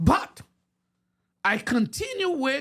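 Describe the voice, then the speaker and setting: The speaker has a Haitian accent. The recording is very clean, with a silent background. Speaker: preacher. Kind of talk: sermon. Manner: halting.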